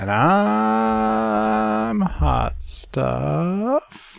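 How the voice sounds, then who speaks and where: A man's put-on character voice at a medium pitch. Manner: sad, drawn-out.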